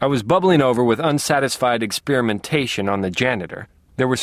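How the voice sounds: Simply a natural reading voice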